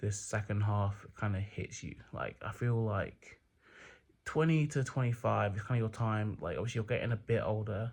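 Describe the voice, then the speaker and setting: The man's voice is somewhat breathy and fairly low in pitch. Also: quiet background. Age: 20s. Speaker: vlogger. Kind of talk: casual vlog monologue. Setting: at home at night. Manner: quiet, not full volume; hesitant, many fillers.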